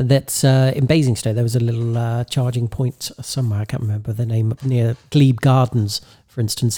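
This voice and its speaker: A somewhat breathy voice with a dark, mellow tone speaks at a fairly quick pace with fairly even intonation, recorded dry and close with no echo. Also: man. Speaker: podcast co-host with radio background. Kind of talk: casual chat.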